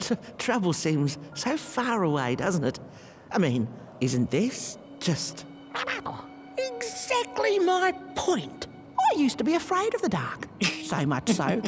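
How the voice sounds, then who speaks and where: A put-on character voice moves at a fairly slow pace with long, frequent pauses. Clear music plays in the background. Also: woman, medium pitch for a woman. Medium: video game. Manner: rambling, whimsical, fond.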